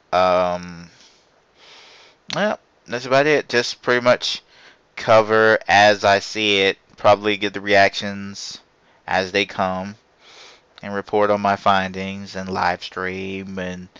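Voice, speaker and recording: The voice has a bright, sharp tone and fairly even intonation, moving at a very slow pace with long, frequent pauses in a dry, close sound with no echo. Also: man, fairly low pitch for a man. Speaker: gaming podcast host. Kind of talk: solo podcast monologue. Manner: stammering, halting; casual, rambling.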